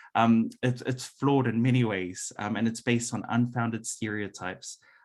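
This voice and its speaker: The pace is moderate, with a New Zealand accent. Intonation stays monotone and flat. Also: man. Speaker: workshop presenter. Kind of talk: presentation. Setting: hybrid event, room audience plus Zoom. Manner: frequent fillers.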